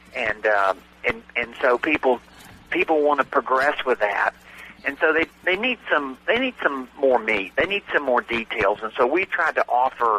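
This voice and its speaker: A man with a Southern US accent and a medium pitch talks at a moderate pace with lively intonation. The sound is dry and close with no echo, with noticeable background noise. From US South. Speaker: real estate note investor and trainer. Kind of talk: radio interview. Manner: hesitant, many fillers.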